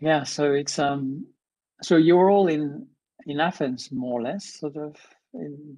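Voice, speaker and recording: The voice has a dark, mellow tone and a slight French accent. It moves very slowly, with long, frequent pauses. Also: man, fairly high pitch for a man, ordinary pitch variation, quiet background. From France. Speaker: professor, keynote speaker. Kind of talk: casual chat. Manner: halting, many fillers.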